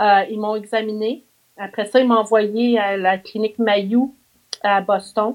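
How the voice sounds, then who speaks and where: A woman with a fairly high voice talks very slowly. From Quebec, Mauricie region. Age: 50s. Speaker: visually impaired therapist. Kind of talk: interview, life story. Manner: animated.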